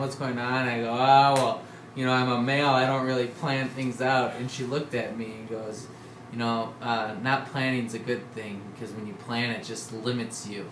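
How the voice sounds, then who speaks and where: A man speaks in a monotone, flat intonation, with audible room echo and noticeable background noise. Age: 20s. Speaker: touring cyclist. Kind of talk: casual chat. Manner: halting.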